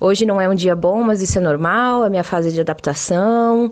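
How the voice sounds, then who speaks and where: With fairly even intonation and a medium pitch, a woman speaks at a moderate pace in an ordinary speaking voice against a quiet background. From Rio Grande do Sul, Brazil (Serra Gaúcha). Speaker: internal communications professional. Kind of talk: recorded voice message.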